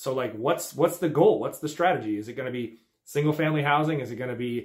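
With a quiet background behind him, the man's pitch varies in an ordinary way as he speaks at a fairly quick pace. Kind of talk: tutorial. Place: office. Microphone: phone near.

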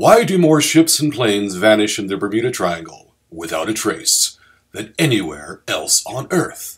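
The voice carries vocal fry. This man's pitch swings very widely. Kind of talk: documentary promo read.

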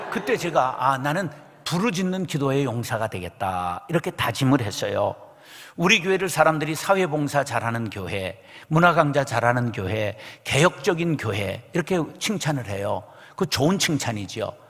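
Vocal fry runs through this man's voice as his pitch swings very widely. He keeps a moderate pace against a quiet background. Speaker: senior pastor. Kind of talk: sermon. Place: church. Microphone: podium.

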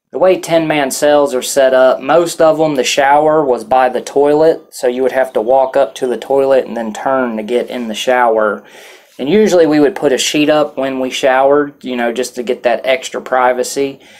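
A man at a moderate pace with ordinary pitch variation and hardly any pauses. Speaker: vlogger recounting jail experience. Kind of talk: casual vlog chat. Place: home room.

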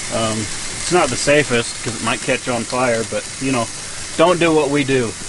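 Clear background noise sits behind a man talking. He speaks at a moderate pace with a medium pitch.

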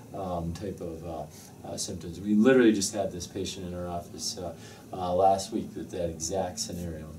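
The voice has a dark, mellow tone, somewhat breathy, with fairly even intonation and light background noise. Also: man, very deep, low pitch for a man, moderate pace. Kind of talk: interview answer. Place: office. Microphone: camera far.

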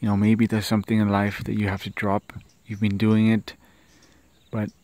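A fairly low-pitched man with a British accent, dry sound with no echo. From United Kingdom. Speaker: vlogger. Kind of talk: casual vlog monologue. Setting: outdoors in garden at sunrise. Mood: calm, reflective, encouraging. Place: open country.

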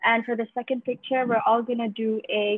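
Over a quiet background, a woman talks at a high pitch. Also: dry sound with no echo. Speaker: team organizer. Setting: video call. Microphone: video call.

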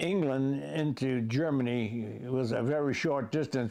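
A man speaks with an American accent. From United States. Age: 80s+. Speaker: war veteran. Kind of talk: casual chat. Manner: halting. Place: home room. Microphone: lapel.

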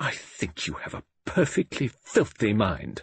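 In a put-on character voice, a man talks at a fairly slow pace and a fairly low pitch, with very wide pitch swings, vocal fry and a husky, rough edge.

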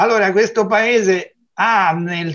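This man takes his time. He talks at a fairly slow pace. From Tuscany, Lucca; Tuscany, Italy. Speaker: geologist; talk show guest. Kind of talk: TV interview. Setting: video call. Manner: halting, repetitive. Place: home room. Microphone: video call.

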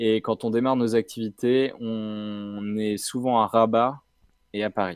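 A man at a very slow pace and medium pitch, flat and monotone, in a very clean recording with a silent background. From France, Brittany (Rennes). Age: 30s. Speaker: nonprofit co-founder, entrepreneur. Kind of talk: interview. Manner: hesitant, many fillers.

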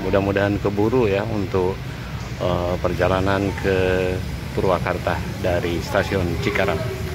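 A man talks at a fairly slow pace. The sound is dry with no echo, though background noise is noticeable. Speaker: travel vlogger. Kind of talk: casual vlog narration. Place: station. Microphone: phone near.

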